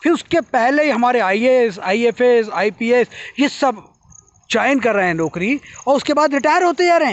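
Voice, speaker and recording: Extremely high pitch for a man, with lively intonation at a moderate pace. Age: 60s. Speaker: social commentator. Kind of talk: monologue commentary. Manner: impassioned.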